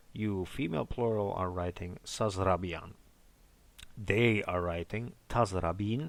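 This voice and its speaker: A man's very deep, low voice at a fairly slow pace, ordinary pitch variation, very clean recording with a silent background. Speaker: language teacher. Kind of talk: language lesson, teaching. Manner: explanatory, tutorial.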